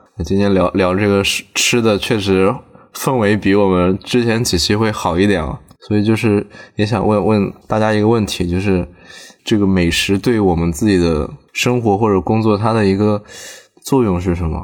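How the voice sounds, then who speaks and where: A man speaks in a normal speaking voice with a fairly low pitch and fairly even intonation. His pace is moderate and his loudness very even. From southern China. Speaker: podcast host. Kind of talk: casual chat. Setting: in a car.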